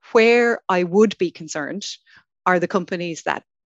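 A woman with an Irish accent speaks at a moderate pace in a fairly low voice. The sound is dry and close with no echo, over a quiet background. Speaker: venture capital industry association director. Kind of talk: panel discussion.

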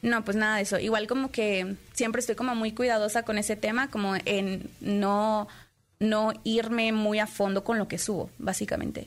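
At a moderate pace, a woman with a fairly high pitch speaks in a monotone, flat intonation and at very even loudness, on a very clean recording with a silent background. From Puebla, Mexico. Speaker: streamer. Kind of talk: interview.

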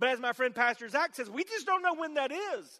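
Using a raised, projected voice, a man speaks at an extremely high pitch in a bright, sharp tone. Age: 50s. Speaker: pastor. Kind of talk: sermon.

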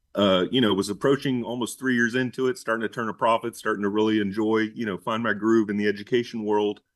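A man with an American accent, fairly low pitch, fairly even intonation and a very fast pace. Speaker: business owner. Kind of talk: interview. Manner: halting, many fillers.

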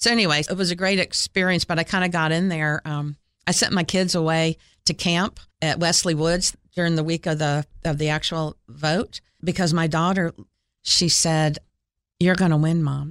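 An unremarkable speaking voice moves at a moderate pace with fairly even intonation and very even loudness, captured in a very clean recording with a silent background. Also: woman. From Florida and Ohio (US). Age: 60s. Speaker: city mayor. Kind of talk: interview. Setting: studio.

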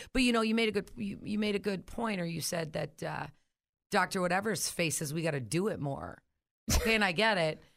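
A woman speaks at a fairly quick pace in an ordinary speaking voice, her pitch medium with ordinary variation. The recording is very clean, with a silent background. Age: 40s. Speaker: coworker of the host, mother of two. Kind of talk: casual chat.

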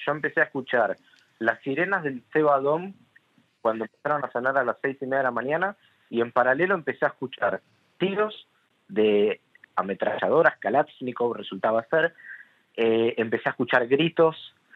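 A man with a fairly high pitch, lively intonation, a moderate pace and long, frequent pauses. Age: 20s. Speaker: massacre survivor. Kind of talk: testimony. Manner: halting.

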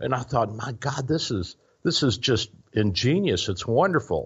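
Lively intonation and a somewhat breathy quality in a man's voice. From Kentucky (Louisville). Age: 60s. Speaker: physician radio host. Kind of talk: radio talk show. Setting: studio.

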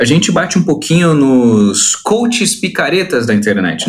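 Noticeable background noise runs under a man's fairly high voice. He speaks at a moderate pace with very wide pitch swings. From Brazil. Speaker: study-abroad consultancy founder. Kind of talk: interview. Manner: animated.

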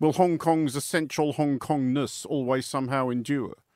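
At a moderate pace, a man with an unremarkable speaking voice talks in a fairly high pitch with ordinary pitch variation. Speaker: radio interviewer. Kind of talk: interview.

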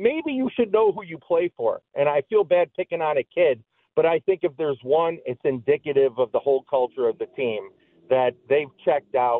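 A man's fairly high voice with an American accent, lively intonation and a moderate pace. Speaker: caller. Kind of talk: call-in radio talk.

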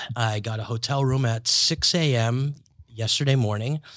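In an ordinary speaking voice at medium pitch, a man speaks at a fairly slow pace in a very clean recording with a silent background. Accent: American. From US Northeast. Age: 30s. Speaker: podcast host, comedian. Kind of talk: casual chat. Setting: studio.

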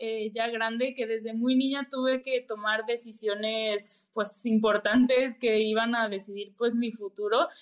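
Fairly high in pitch, the woman's voice moves at a fairly slow pace. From Mexico City. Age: 20s. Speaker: parkour athlete and stunt double. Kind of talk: interview.

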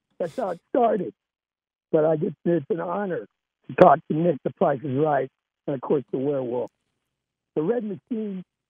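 A man's high-pitched voice with lively intonation, moderate pace, and long, frequent pauses. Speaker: caller, Chiefs fan. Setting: phone call. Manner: animated, excitable.

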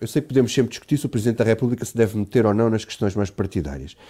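The recording is very clean against a silent background. A dark, mellow tone marks the voice. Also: man. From Portugal, Alentejo. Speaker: political journalist. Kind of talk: radio political debate.

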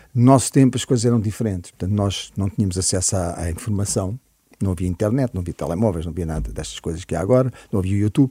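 A man with a fairly low pitch speaks very fast in a dark, mellow, somewhat breathy voice with ordinary pitch variation. The recording is very clean with a silent background. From Portugal (Cascais area, childhood partly in Africa). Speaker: musician. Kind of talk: interview chat.

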